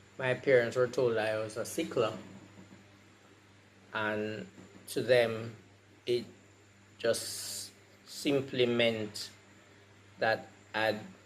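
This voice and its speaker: At a very slow pace, a man speaks in a medium pitch with monotone, flat intonation. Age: 60s. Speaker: patient sharing experience. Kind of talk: testimony.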